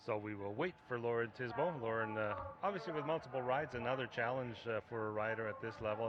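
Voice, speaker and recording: Over noticeable background noise, a man talks at a very fast pace with medium pitch and ordinary pitch variation. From Mexico. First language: Spanish. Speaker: equestrian commentator. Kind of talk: live commentary.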